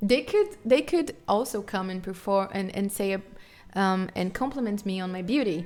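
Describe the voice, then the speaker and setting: With a strong Brazilian accent, a woman speaks at a fairly slow pace and medium pitch, her intonation lively, as music plays in the background. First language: Portuguese. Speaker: guitarist and livestreamer. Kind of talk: casual live stream chat. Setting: live stream.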